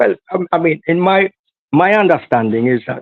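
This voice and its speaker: A man's high voice with very wide pitch swings, at a moderate pace. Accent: Jamaican. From Jamaica, inner city. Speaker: political activist. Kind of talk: interview. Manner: halting, many repeated words.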